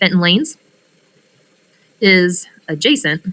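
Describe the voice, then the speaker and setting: A woman's medium-pitched voice with lively intonation, at a fairly slow pace, in a dry, close sound with no echo. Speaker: math teacher. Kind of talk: lecture.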